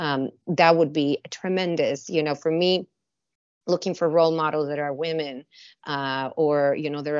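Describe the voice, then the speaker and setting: With a Spanish accent, a woman speaks at a very deep, low pitch and fairly even intonation. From Mexico (Mexicali, border city). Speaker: food and beverage company director. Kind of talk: interview.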